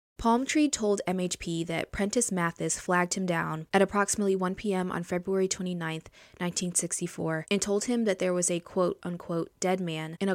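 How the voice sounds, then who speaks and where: In a normal speaking voice, a woman of medium pitch talks at a fairly quick pace with fairly even intonation and hardly any pauses, in a dry, close sound with no echo on a very clean recording with a silent background. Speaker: true crime podcaster. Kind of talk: true-crime narration. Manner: measured, serious, formal; steady, even-paced reading of case facts.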